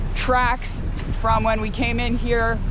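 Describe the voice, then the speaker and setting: A woman is speaking with noticeable background noise. The sound is dry, with no echo. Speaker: sailing vlogger. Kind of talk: casual vlog chat. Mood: cheerful but cautious. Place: boat. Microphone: phone near.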